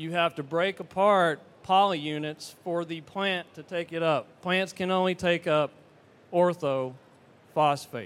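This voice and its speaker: A man with a Southern US accent talks at a fairly slow pace in a high pitch. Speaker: fertilizer company representative. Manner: animated, engages audience.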